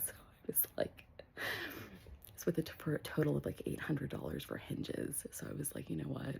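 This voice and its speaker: A woman is speaking. She whispers. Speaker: vlogger. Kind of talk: casual home tour vlog. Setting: at home. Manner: whispering; hesitant, many fillers.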